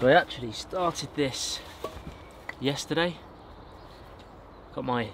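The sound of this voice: A man speaks at a very slow pace. His tone is fairly bright.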